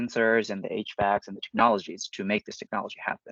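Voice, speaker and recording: A man with a Japanese accent talks very fast at a fairly low pitch in a flat monotone, recorded dry and close with no echo. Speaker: startup co-founder. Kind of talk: business presentation.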